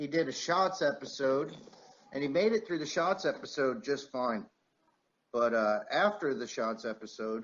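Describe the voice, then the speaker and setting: A fairly high male voice with very wide pitch swings. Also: moderate pace. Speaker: online video host. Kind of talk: casual chat.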